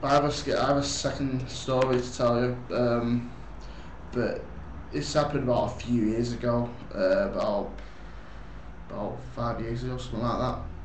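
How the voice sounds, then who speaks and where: Over noticeable background noise, the speech moves at a moderate pace with long, frequent pauses. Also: man. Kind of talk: casual talk to camera.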